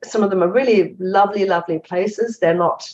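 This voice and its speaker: A woman with a German accent, fairly even intonation, and a moderate pace. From Germany. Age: 50s. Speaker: investigative journalist and author. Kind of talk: interview. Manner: halting.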